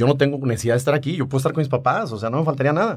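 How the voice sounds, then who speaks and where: A man speaks very fast at a medium pitch, somewhat breathy with ordinary pitch variation, on a very clean recording with a silent background. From Mexico, Aguascalientes (Rincón de Romos). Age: 40s. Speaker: entrepreneur, mechanical engineer. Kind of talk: interview testimony.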